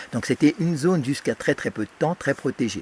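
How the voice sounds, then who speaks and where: A man's lively intonation comes through in a dry, close recording with no echo. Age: 60s. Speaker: electrosensitive whistleblower. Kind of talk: interview testimony. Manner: halting, many fillers.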